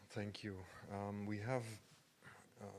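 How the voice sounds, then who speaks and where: Fairly low male voice with audible room echo. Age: 40s. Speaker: artist. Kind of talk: lecture. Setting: stage with audience. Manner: hesitant.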